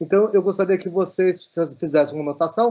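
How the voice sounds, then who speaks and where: A man speaks with ordinary pitch variation. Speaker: professor giving a lecture. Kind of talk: online lecture. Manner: halting with many fillers.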